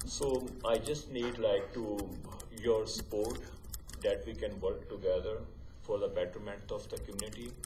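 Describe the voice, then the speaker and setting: At a moderate pace, a man speaks with long, frequent pauses, amid noticeable background noise and audible room echo. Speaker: hospital site manager. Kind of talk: council presentation. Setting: council chamber with mic. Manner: halting.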